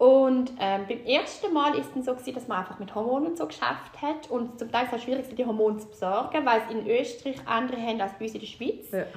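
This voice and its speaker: A woman's high-pitched, very fast speech, with noticeable background noise and audible room echo. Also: ordinary pitch variation. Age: 40s. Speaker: guest sharing fertility story. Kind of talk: personal testimony.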